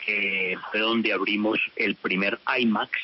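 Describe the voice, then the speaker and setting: A man with a fairly low voice talks at a fairly slow pace over noticeable background noise. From California (Culver City), US, of Colombian family. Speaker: cinema chain executive. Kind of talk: radio interview.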